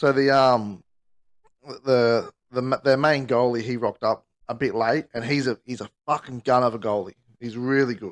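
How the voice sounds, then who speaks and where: A man with an Australian accent speaks at a moderate pace in a medium pitch, his intonation fairly even. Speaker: podcast co-host. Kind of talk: casual chat. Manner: halting.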